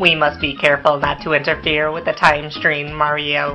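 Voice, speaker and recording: Clear music plays in the background as a put-on character voice, low-to-middle in pitch, moves at a moderate pace. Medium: machinima. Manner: polite, subservient.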